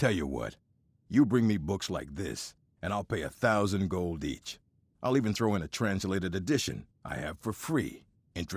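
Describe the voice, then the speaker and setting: Growling in a put-on character voice, a man speaks at a moderate pace with a very deep, low pitch in a very clean recording with a silent background. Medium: video game. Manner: blunt, gruff.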